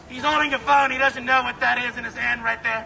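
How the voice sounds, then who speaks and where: A loud man at a very fast pace amid noticeable background noise. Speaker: protester. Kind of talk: street heckling. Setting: outdoors. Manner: stutter.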